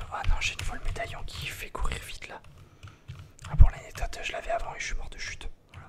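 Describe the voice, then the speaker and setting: A man whispers at a very fast pace with long, frequent pauses and big swings in loudness, over noticeable background noise. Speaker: ASMR gaming creator. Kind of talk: ASMR gaming commentary, whispered. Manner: whispered.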